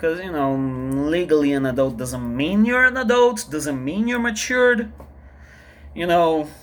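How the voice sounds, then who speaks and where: Very wide pitch swings from a man with a fairly high voice. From Brazil. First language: Portuguese. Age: 30s. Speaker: vlogger, artist. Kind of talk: personal vlog monologue. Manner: halting, repetitive.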